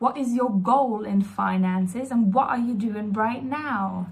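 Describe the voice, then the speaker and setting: A woman with a non-native accent talks at a medium pitch and a fairly slow pace, her intonation fairly even. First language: not English. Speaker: mindset coach. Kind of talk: casual self-help talk to camera. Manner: hesitant, many fillers.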